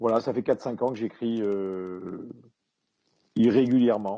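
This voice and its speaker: A man's dark, mellow tone at medium pitch, with ordinary pitch variation. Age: 60s. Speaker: retired police commander and author. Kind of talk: interview. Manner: halting, many hesitations.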